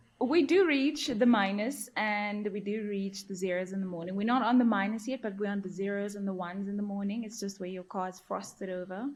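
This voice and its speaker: A woman with a South African accent, medium in pitch, somewhat breathy, with ordinary pitch variation and a fairly quick pace. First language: Afrikaans. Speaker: journalist and field reporter. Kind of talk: casual podcast chat.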